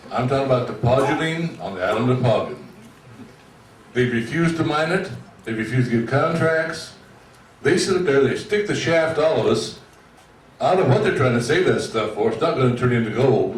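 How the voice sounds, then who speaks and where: A man with a fairly high pitch speaks with lively intonation and long, frequent pauses. Noticeable background noise and audible room echo surround him. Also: moderate pace. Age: 70s. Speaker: retiree speaking at public meeting. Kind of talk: public meeting comment.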